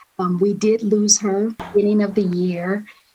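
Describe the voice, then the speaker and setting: An ordinary speaking voice from a woman with an American accent, medium in pitch, fairly slow, with fairly even intonation. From US South. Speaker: corporate ethics executive. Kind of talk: interview conversation.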